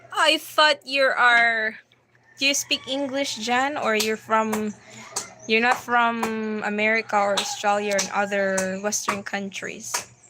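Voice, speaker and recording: Fairly high-pitched woman's voice at a fairly slow pace, with ordinary pitch variation and noticeable background noise. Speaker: livestream host. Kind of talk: livestream Q&A chat. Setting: livestream. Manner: casual.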